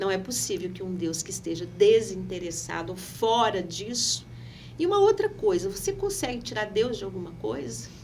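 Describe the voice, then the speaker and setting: A woman's voice with big swings in loudness and audible room echo. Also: moderate pace. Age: 60s. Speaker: pastor and local politician. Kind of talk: podcast interview.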